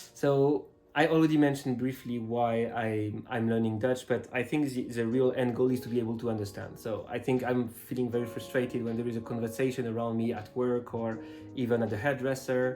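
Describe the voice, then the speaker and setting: Music plays in the background as a man with a French accent talks fairly quickly at a medium pitch with fairly even intonation. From France. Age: 30s. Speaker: language student. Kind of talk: interview answers. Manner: hesitant, many filler words.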